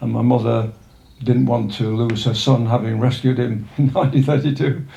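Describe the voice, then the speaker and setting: Pitched at a medium level, this man keeps his intonation fairly even. He talks at a moderate pace, and room echo is audible. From northern England, Sheffield. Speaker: retired local walker, village resident. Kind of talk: life story interview. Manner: halting, many fillers.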